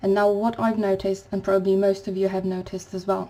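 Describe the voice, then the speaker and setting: A non-native accent with monotone, flat intonation. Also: woman. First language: not English. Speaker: spiritual vlogger. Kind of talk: spiritual talk to camera. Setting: home recording at night. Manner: quiet, to avoid waking neighbours; halting.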